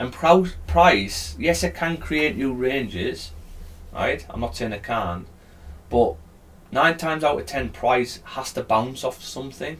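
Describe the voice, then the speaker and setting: Mumbling at a fairly slow pace, a man with a British accent speaks at medium pitch with very wide pitch swings. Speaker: live trading streamer. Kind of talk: live trading stream, explaining to chat.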